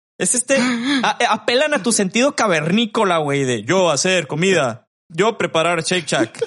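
A man with a Mexican accent speaks at a moderate pace with hardly any pauses. His pitch is high and swings very widely. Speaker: podcast co-host. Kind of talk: casual chat.

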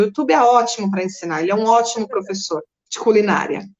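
A woman speaks at a very fast pace. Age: 40s. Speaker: psychoanalyst and energy therapist. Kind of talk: casual interview on a live stream.

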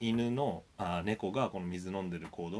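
The speaker is a man. His pitch moves in an ordinary way. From Japan, Sendai, Miyagi. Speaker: university lecturer. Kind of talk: recorded lecture. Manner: many hesitation fillers.

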